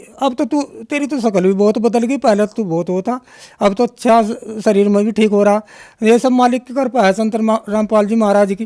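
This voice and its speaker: Extremely high in pitch yet dark and mellow in tone, a man speaks at a moderate pace with fairly even intonation in a dry, close sound with no echo. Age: 60s. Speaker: devotee giving testimony. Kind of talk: testimony. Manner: halting, with many fillers.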